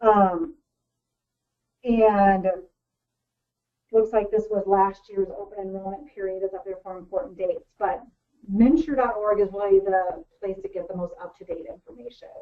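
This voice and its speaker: Loudness swings widely, and long pauses come often. Pitch varies in an ordinary way. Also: woman, medium pitch for a woman. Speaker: outreach director presenting a webinar. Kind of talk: webinar presentation. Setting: webinar call. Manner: fast.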